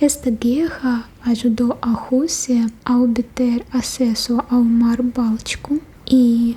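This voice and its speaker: A woman's high-pitched, monotone, flat voice in a Russian accent, over noticeable background noise. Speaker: tour guide. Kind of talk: guided tour narration.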